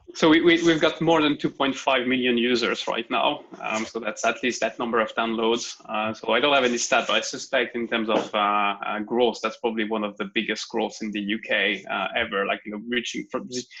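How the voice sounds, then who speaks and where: A man with a French accent talks at a fairly quick pace and a medium pitch, with ordinary pitch variation and hardly any pauses. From France. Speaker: tech company engineering lead. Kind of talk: interview.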